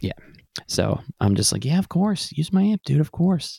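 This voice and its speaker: A somewhat breathy man's voice, fairly high in pitch, with a dark, mellow tone. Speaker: record label owner and band musician. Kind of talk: casual chat.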